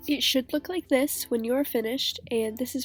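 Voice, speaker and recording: Music plays behind as a woman talks, her pitch varying in a normal way. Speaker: model horse hobbyist. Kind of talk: craft tutorial narration.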